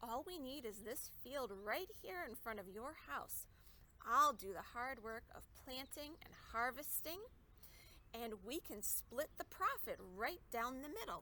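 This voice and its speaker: A woman's put-on character voice, high-pitched and raised in projection, at a fairly slow pace over clear background noise. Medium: read story. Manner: friendly, persuasive.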